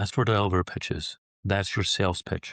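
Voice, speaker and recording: A man speaks at a fairly quick pace, somewhat breathy. The sound is dry and close with no echo, against a quiet background. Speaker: career transition specialist. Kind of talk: tutorial.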